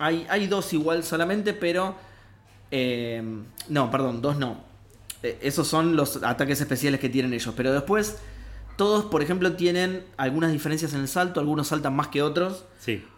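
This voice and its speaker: In an ordinary speaking voice, a man speaks at a moderate pace with a fairly high pitch and ordinary pitch variation. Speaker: video game podcast co-host. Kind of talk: casual chat. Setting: studio.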